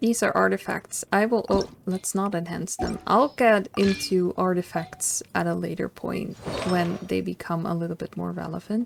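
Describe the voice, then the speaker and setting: A soft-spoken woman with music in the background. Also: moderate pace. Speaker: gaming commentator. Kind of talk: let's play commentary.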